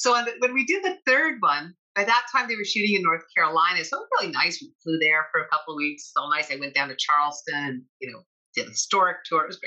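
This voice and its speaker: Very fast and full of big swings in loudness, a woman with a Canadian accent talks at a medium pitch with very wide pitch swings. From Canada, Toronto. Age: 60s. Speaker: actress. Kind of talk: interview.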